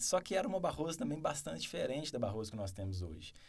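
The room echo is audible. A man speaks at a medium pitch. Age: 30s. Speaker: mayoral candidate. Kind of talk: interview.

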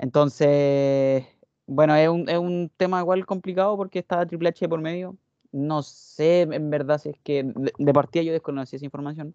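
Speaking at a moderate pace with a Chilean accent, a man has a fairly high pitch, a dark, mellow tone and fairly even intonation, recorded with a dry, close sound with no echo against a quiet background. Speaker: wrestling podcast panelist. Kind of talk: casual chat.

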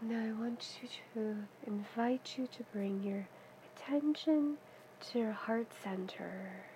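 A woman with a fairly high pitch speaks at a very slow pace in a soothing, calm tone. Her pitch varies in an ordinary way, and there is noticeable background noise. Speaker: meditation guide. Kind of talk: guided meditation. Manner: slow, soft, soothing, calm; gentle pacing with long pauses.

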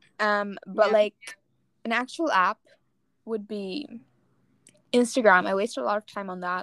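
A woman's voice, a normal speaking voice at medium pitch, fairly slow, with ordinary pitch variation and a dry, close sound with no echo. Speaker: podcast host. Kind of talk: casual chat.

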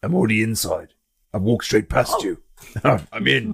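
A man uses a put-on character voice at a moderate pace. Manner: dry, sarcastic, impatient.

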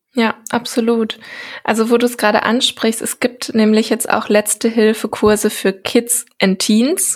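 Fairly slow, flat and monotone, a woman's somewhat breathy voice at fairly high pitch. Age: 20s. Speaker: health care researcher and podcaster. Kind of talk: podcast interview.

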